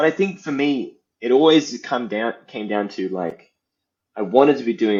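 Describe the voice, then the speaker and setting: A man's lively intonation at a moderate pace. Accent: Australian. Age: 30s. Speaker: indie game developer. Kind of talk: interview.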